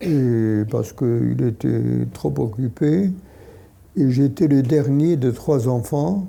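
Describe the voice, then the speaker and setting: A man with lively intonation at a very slow pace. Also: medium pitch for a man, very even loudness. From Poland, Lodz. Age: 80s+. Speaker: Holocaust survivor and author. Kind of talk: talk to an audience. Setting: hall with audience. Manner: halting.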